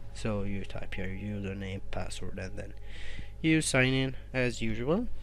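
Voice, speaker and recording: The speech moves at a very slow pace with faint music in the background. The sound is dry with no echo. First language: non-native English speaker. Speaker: tech reviewer. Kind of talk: screen-recorded tech tutorial. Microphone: phone near.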